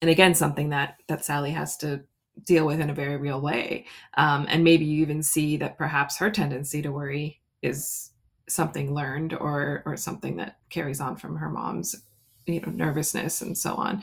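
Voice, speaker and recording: A woman with an American accent has a very deep, low pitch and vocal fry. Her intonation is fairly even. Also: moderate pace. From US. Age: around 50. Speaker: children's book author. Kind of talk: casual chat.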